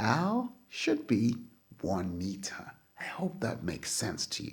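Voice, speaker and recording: Very slowly, a man speaks in a somewhat breathy voice at medium pitch with very wide pitch swings. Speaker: physics teacher. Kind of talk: lecture.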